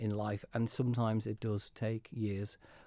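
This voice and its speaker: A man with a Manx accent speaks at medium pitch and a moderate pace, his tone dark and mellow and his intonation flat and monotone. The sound is dry and close with no echo, on a very clean recording with a silent background. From Isle of Man. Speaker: politician. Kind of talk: radio interview. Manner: halting.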